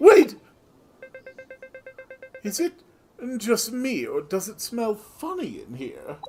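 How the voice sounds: A put-on character voice, fairly high in pitch, at a very slow pace with long, frequent pauses.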